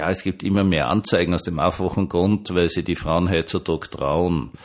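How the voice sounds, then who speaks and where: A very clean recording with a silent background, featuring a male speaker of ordinary pitch variation. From Austria. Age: 60s. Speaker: pastor. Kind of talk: monologue vlog. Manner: conversational.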